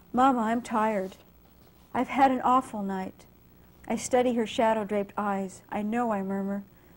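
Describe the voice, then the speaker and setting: A woman with an American accent speaks at a moderate pace, fairly high in pitch and somewhat breathy, with fairly even intonation. The recording is very clean, with a silent background. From US West Coast (San Jose, California). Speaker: poet and English professor. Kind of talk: poetry reading. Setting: library reading with live audience.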